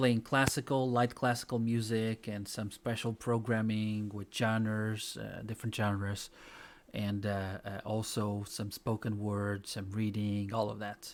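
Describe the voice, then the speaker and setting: A man with a non-native accent talks at a fairly slow pace. His fairly low voice has a monotone, flat intonation. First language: not English. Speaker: talk show co-host. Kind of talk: casual news roundup chat.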